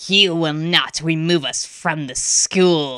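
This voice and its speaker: In a put-on character voice, the speaker growls with a menacing tone at a middle pitch. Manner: snarling, menacing, commanding.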